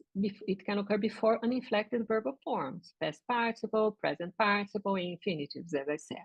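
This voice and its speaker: A woman with a Portuguese accent, fairly high-pitched and somewhat breathy, at a moderate pace with lively intonation. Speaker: linguistics professor. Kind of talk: lecture. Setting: video call. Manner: halting.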